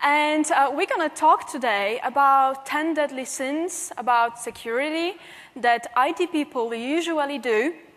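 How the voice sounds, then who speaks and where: With a Polish accent, a woman speaks in a high-pitched voice. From Poland. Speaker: penetration tester and security trainer. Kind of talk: conference talk.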